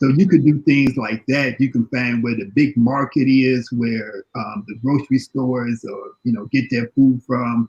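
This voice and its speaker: Somewhat breathy, a man with an American accent talks fairly slowly at medium pitch with fairly even intonation, in a dry, close sound with no echo. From Chicago. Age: 60s. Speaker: panelist on health and diet. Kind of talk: panel discussion. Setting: live online video panel. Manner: halting, repetitive.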